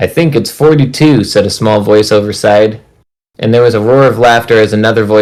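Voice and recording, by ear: In a natural voice with ordinary pitch variation, someone reads aloud over a quiet background.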